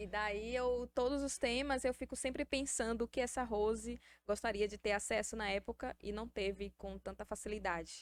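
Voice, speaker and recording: In a slight Bahian accent, a woman speaks at a moderate pace and a fairly high pitch, her intonation fairly even and the sound dry and close with no echo. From Salvador, Bahia, Brazil. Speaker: podcast host. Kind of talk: casual interview.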